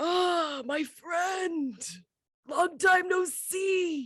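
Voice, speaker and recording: A woman puts on a character voice, pitched extremely high. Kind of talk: medium.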